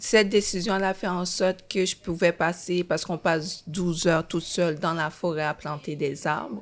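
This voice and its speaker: An unremarkable speaking voice from a woman, moderate in pace with hardly any pauses and fairly even intonation, on a very clean recording with a silent background. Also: fairly low pitch for a woman. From Haiti, raised in Montreal from age 11. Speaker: screenwriter. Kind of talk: testimony.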